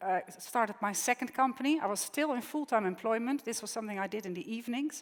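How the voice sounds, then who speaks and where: With a Dutch accent, a woman talks at a fairly quick pace and uses ordinary pitch variation. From Netherlands. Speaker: tech entrepreneur. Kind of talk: keynote speech. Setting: conference stage with audience. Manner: conversational with frequent fillers.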